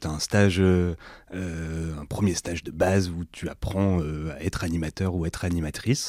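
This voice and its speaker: A man's very deep, low voice with fairly even intonation, dry and close with no echo, on a very clean recording with a silent background. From northern France, Lille. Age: 30s. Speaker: entrepreneur and workshop leader. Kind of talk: casual interview.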